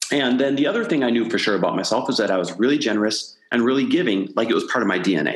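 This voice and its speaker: With an American accent, this man talks at a very fast pace. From US Midwest. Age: 40s. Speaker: entrepreneur and podcast host. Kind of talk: interview conversation.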